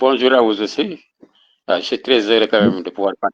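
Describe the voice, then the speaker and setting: A plain, everyday voice belongs to a man at medium pitch with ordinary pitch variation. The sound is dry and close, with no echo. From central Senegal. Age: 60s. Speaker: author. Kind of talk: interview. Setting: online video call.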